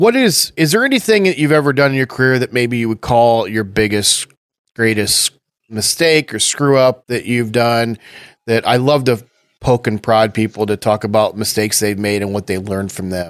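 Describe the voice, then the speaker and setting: Here is a normal speaking voice at a moderate pace with ordinary pitch variation. The sound is dry and close, with no echo. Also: man, medium pitch for a man. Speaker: podcast host. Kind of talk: casual interview.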